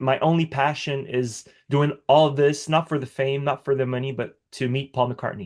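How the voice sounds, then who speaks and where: A man with a slight French accent talks at a moderate pace with hardly any pauses. His pitch is fairly high and his intonation fairly even. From Quebec, Canada (Montreal). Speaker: musician. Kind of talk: interview. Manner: halting.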